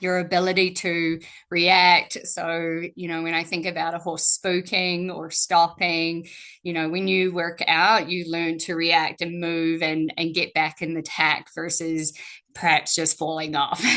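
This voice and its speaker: Over a quiet background, a woman with a New Zealand accent speaks at a fairly slow pace and a fairly low pitch. Her intonation is monotone and flat, her tone bright and sharp. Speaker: strength and conditioning coach. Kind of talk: webinar presentation.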